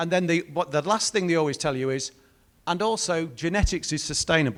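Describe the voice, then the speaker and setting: A man speaks with a British accent at a high pitch. His pitch varies in an ordinary way. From Britain. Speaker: industry speaker from a breeding company. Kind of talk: conference presentation.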